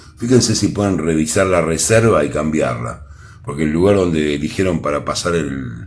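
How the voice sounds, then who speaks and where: Speaking in a Rioplatense accent, a man with a very deep, low voice and vocal fry talks at a moderate pace amid audible room echo. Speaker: tarot reader. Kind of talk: tarot reading to camera. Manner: playful, animated.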